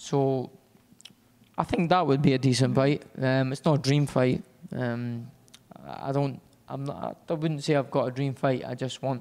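With a Scottish accent, a man speaks at a fairly slow pace and medium pitch with fairly even intonation, leaving long, frequent pauses. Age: 20s. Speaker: professional boxer. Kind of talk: interview.

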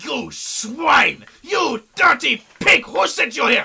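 A man shouts in a put-on character voice at an extremely high pitch. He speaks at a very slow pace. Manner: outraged, pompous.

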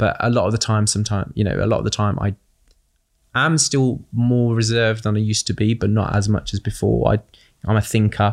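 Very clean with a silent background, the recording carries a man with a British accent at a fairly low pitch. He keeps a fairly quick pace, fairly even intonation and very even loudness. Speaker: charity fundraiser and community advocate. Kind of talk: casual interview conversation.

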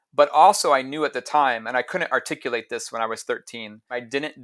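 This man talks at a fairly quick pace with a Midwestern accent, his pitch medium and its variation ordinary. The recording is very clean, with a silent background. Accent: American Midwest. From US Midwest (Ohio). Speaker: juggler and circus teacher. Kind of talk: interview conversation.

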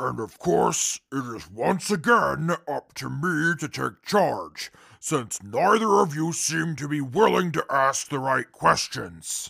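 Fairly slow and with hardly any pauses, a man speaks in a fairly high voice. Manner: condescending, imperious.

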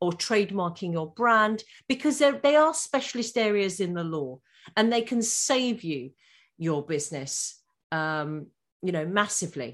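A woman with an English accent at medium pitch, very wide pitch swings and a fairly slow pace, in a very clean recording with a silent background. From England. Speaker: law firm founder and podcaster. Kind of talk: interview.

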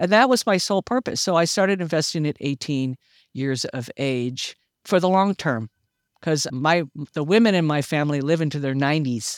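With lively intonation and a very deep, low pitch, a woman talks at a moderate pace in a dry, close recording with no echo, very clean and with a silent background. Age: 60s. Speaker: retiree and community volunteer, veteran. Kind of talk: casual interview chat.

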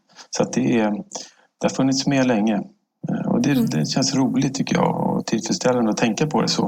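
A plain, everyday voice with lively intonation, very even loudness and a moderate pace. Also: man, medium pitch for a man. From Stockholm, Sweden. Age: 50s. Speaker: government agency director. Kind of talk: interview.

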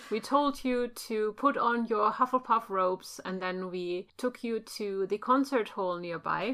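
With a German accent, a woman speaks at a fairly slow pace and fairly high pitch, her tone bright and sharp, her pitch variation ordinary, and hardly any pauses. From Germany. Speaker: podcast co-host. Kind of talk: casual chat.

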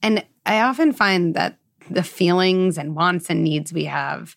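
A woman's fairly low voice with vocal fry and ordinary pitch variation on a very clean recording with a silent background. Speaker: podcast host, psychologist. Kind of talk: interview conversation.

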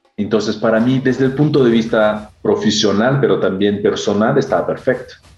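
A man speaks with a Brazilian accent. Music plays in the background. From Brazil, São Paulo area. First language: Portuguese (speaking Spanish). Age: 40s. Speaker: HR executive. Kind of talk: interview. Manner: halting.

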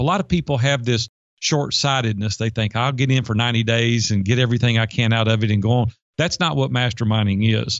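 A man speaks with a Southern US accent. His pitch varies an ordinary amount. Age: 50s. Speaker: life and business coach. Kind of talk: interview.

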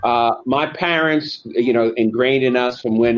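At a fairly slow pace, a man with an American accent speaks in an ordinary speaking voice, with medium pitch and ordinary pitch variation. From US Northeast, Long Island, New York. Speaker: lawyer and author. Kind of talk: interview.

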